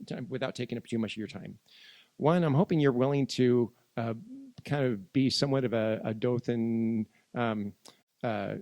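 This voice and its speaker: A man with an American accent speaks at a medium pitch with ordinary pitch variation. His pace is moderate, broken by long, frequent pauses. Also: dry, close sound with no echo. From Northern California. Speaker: priest and interviewer. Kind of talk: conversational interview. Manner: halting, many fillers and restarts.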